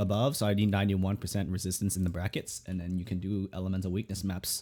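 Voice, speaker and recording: A man at a very fast pace. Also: very clean recording, silent background. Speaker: gaming streamer and VTuber. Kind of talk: gameplay build commentary.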